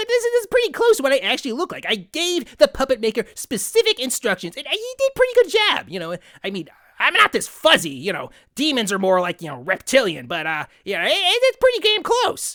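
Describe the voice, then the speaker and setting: A put-on character voice, high-pitched and fairly quick, in a very clean recording with a silent background. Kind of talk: comedy parody interview. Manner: casual, rambling.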